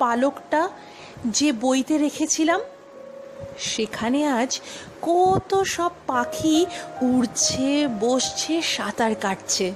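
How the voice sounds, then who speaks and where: A high-pitched woman's voice with lively intonation and very even loudness, music in the background. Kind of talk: poetry reading.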